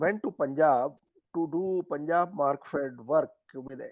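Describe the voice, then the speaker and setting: Very slow speech in an Indian accent with ordinary pitch variation. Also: man. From Haryana, India. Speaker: former business executive, rural development activist. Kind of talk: interview answer.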